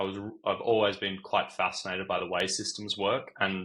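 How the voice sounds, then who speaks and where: A man's bright, sharp tone at a fairly low pitch. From Australian, raised overseas (Singapore). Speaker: physics student. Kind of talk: casual interview.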